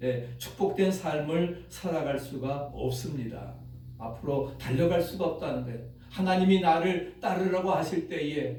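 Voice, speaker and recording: Noticeable background noise and audible room echo surround a man's fairly high voice. He talks at a fairly slow pace with ordinary pitch variation. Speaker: pastor. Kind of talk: sermon.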